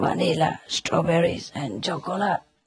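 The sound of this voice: A man puts on a character voice that is hoarse and raspy, fairly high in pitch, delivered at a moderate pace.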